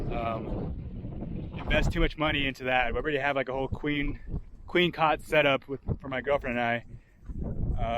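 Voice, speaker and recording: There is noticeable background noise behind this man. He speaks at a medium pitch and a fairly quick pace. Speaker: overlanding vlogger. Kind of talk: casual vlog walkaround. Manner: rambling, filler-heavy.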